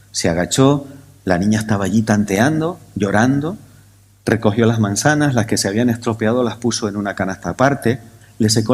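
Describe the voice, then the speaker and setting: Moderate-paced speech from a man, medium in pitch, with ordinary pitch variation. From Canary Islands, Tenerife. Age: 60s. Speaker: scientific conference speaker. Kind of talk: conference talk. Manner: animated.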